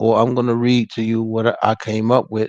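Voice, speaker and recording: The sound is close and dry, without any echo. Delivery stays at a moderate speed. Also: man. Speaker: motivational livestream host. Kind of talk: casual livestream talk. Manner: halting, stuttering at times.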